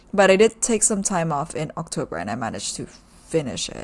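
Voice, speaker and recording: A woman speaks with lively intonation. Her voice carries vocal fry. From Indonesia. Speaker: head of YouTube for a creator, writer. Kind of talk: podcast interview. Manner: casual, many fillers and restarts.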